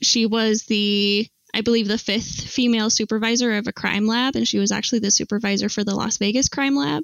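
Speaking with a plain, everyday voice, this woman keeps a moderate pace, ordinary pitch variation and a fairly high pitch. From Utah, US (Salt Lake City). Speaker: archaeology PhD student. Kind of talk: casual interview.

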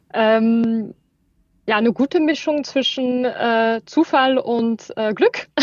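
This woman's voice is high, with ordinary pitch variation. She speaks at a very slow pace. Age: 30s. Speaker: startup managing director. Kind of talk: interview. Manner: halting.

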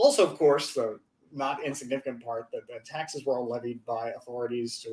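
A man's fairly quick, fairly even delivery at medium pitch, in a plain, everyday voice. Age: 30s. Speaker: attorney and political commentator. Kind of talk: casual chat.

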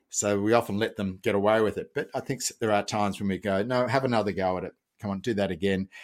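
A man with an Australian accent talks at a very fast pace in a fairly low pitch with fairly even intonation. The recording is very clean, with a silent background. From Australia, Melbourne. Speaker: parenting educator. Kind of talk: interview.

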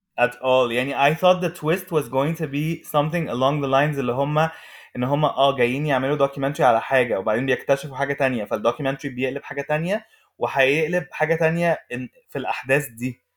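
On a very clean recording with a silent background, a man talks at a fairly quick pace. His pitch is fairly high and varies ordinarily. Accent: Arabic. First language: Arabic. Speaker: podcast host. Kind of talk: casual chat, code-switching Arabic and English.

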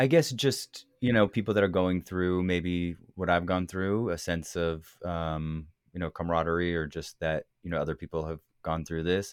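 In a Californian accent, a man with a very deep, low voice speaks at a moderate pace with ordinary pitch variation, the sound dry and close with no echo. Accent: Californian American. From US West Coast, California Bay Area. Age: 40s. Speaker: interview subject of an oral history book. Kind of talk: interview. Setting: video call.

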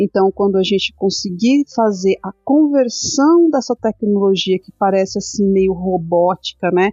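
With a normal speaking voice at medium pitch, a woman talks at a fairly slow pace. She barely pauses, and her loudness swings widely. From Brazil, São Paulo city outskirts. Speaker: crypto content creator and stake pool co-founder. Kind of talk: casual interview.

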